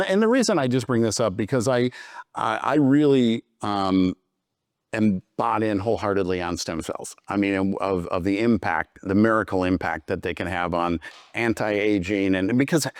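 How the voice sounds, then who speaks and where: Recorded very cleanly against a silent background with a dry, close sound and no echo, a man speaks in a plain, everyday voice at a moderate pace, his fairly low pitch showing ordinary variation. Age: 60s. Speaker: podcast host. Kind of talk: interview.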